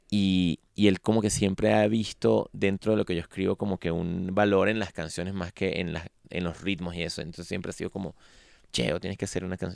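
Very deep and low, a man's voice races at a very fast pace with ordinary pitch variation. The recording is very clean with a silent background and a dry, close sound with no echo. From Venezuela. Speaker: musician. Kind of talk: interview. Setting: studio.

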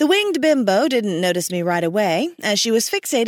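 Someone reads in a natural reading voice.

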